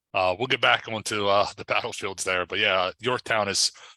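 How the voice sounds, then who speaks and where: In a quiet background, a man speaks with a very deep, low pitch and a bright, sharp tone. The sound is dry and close, with no echo. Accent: American. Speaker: historian, livestream host. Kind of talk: casual panel discussion. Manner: halting, many fillers.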